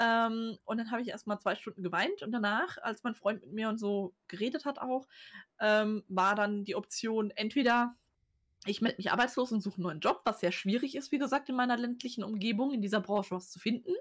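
Over a quiet background, a woman speaks at a fairly quick pace. Her fairly high voice is somewhat breathy, with ordinary pitch variation. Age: 30s. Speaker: author and cover designer; guest. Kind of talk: casual chat. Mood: candid, reflective. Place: home room. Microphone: webcam.

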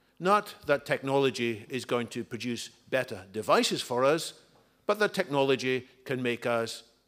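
A man's very slow delivery. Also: quiet background. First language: English (speaking Spanish). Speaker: author and futurist. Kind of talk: book presentation talk. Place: hall. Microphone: podium.

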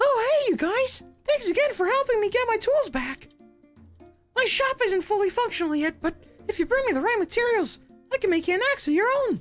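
Someone uses a put-on character voice with an extremely high pitch, talking at a fairly quick pace in a cheerful, upbeat tone over faint background music. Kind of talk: scripted in-game dialogue.

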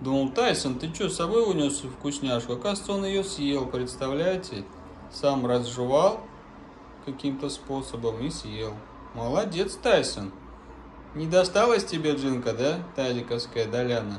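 Speaking at a fairly slow pace with long, frequent pauses, a man uses a fairly high pitch and lively intonation. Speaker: dog-owner video blogger. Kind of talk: casual vlog narration, talking to his dogs. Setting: outdoors. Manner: animated.

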